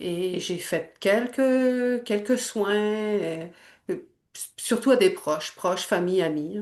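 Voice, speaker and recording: Very slow, lively speech from a woman at medium pitch, over a quiet background. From Quebec. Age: 60s. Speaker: energy healer. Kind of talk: testimony. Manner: halting.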